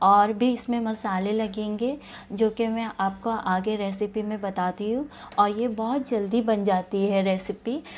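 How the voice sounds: Medium pitch from a woman at a fairly slow pace, with few pauses. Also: fairly even intonation.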